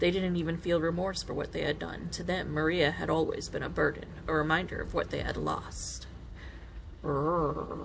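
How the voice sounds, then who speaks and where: A woman talks at a moderate pace while noticeable background noise and audible room echo fill the recording. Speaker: gamer. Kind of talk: reading aloud. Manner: soothing.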